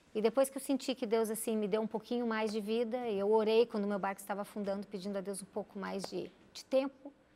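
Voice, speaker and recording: Racing at a very fast pace with hardly any pauses, a woman uses a fairly high pitch, a dark, mellow tone and fairly even intonation. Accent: southern Brazilian. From Brazil, Rio Grande do Sul. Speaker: physician and missionary. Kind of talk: interview. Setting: studio. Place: studio. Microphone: lapel.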